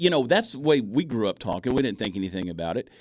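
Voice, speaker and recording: Recorded very cleanly against a silent background, a man with an American accent speaks with ordinary pitch variation. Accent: Southern accent, muted. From US South, Augusta, Georgia. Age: 40s. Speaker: comedian and social media video creator. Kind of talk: radio interview. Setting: radio studio.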